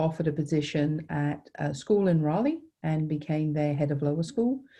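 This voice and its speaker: A woman with a British accent has a very deep, low voice. Her tone is dark and mellow against a quiet background. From England, Suffolk. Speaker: nonprofit director, former teacher. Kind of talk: interview. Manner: hesitant fillers.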